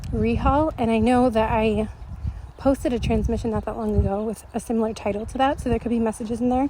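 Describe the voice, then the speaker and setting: Speaking very fast in an American accent, a woman with a fairly high pitch keeps her intonation fairly even, her somewhat breathy voice carrying a dark, mellow tone. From United States. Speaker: spiritual channeler. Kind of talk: storytelling monologue. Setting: outdoors, walking. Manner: casual, filler-heavy.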